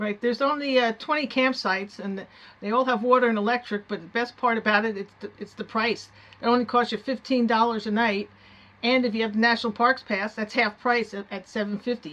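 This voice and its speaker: A speaker with a New Jersey accent talks at a fairly quick pace. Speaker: travel vlogger. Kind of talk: casual travel narration.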